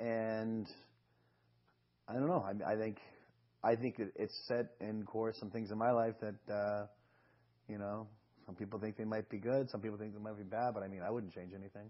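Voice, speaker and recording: Long, frequent pauses break up speech delivered in a Boston accent with fairly even intonation. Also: man, fairly low pitch for a man, moderate pace. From Boston, Massachusetts. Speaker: talk show guest. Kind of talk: interview. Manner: halting, many fillers.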